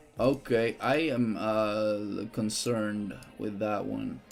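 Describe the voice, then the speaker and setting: A man is speaking. Music plays in the background. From Netherlands. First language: Dutch. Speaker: gaming streamer. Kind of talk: live gameplay stream commentary. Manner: animated.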